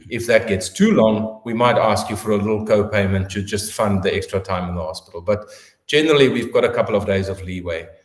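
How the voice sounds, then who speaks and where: Speaking with a South African accent, a man talks at a very fast pace. His voice is fairly low-pitched and somewhat breathy. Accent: South African, getting heavier. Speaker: orthopedic surgeon. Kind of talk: interview answering questions. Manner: hesitant fillers.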